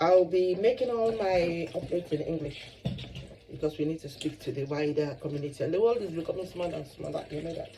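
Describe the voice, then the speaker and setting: Against noticeable background noise, a woman talks at a fairly quick pace with a fairly low pitch and ordinary pitch variation. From Nigeria. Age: 60s. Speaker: YouTuber. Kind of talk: casual vlog chat. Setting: home kitchen.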